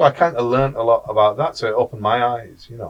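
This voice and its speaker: Speaking at a very fast pace, a man with a medium pitch sounds somewhat breathy and uses ordinary pitch variation. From England, British Pakistani. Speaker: university lecturer. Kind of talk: podcast conversation.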